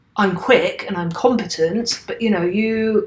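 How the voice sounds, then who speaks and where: Speaking with a British accent, a woman shows ordinary pitch variation. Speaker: software teacher. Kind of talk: tutorial. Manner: casual; fast.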